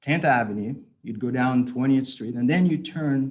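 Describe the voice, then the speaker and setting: Ordinary pitch variation marks this man's speech, delivered with a non-native accent. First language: not English. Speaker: guest speaker at anniversary event. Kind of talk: personal testimony speech.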